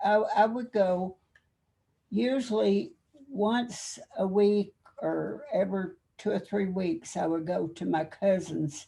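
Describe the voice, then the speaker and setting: With an American accent, a woman at medium pitch talks at a very slow pace, using lively intonation and long, frequent pauses. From Kentucky. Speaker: army veteran. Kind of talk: interview. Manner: halting.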